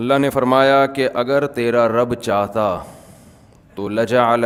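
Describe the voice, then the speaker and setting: This man has a plain, everyday voice, a medium pitch and fairly even intonation. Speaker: Islamic scholar. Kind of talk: Islamic lecture (bayan) with Quran explanation. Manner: conversational, explanatory, occasionally humorous.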